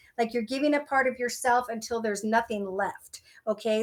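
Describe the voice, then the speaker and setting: In a Minnesotan accent, a woman speaks in a high pitch with fairly even intonation. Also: very clean recording, silent background. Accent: Minnesota. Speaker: tarot reader. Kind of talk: tarot reading.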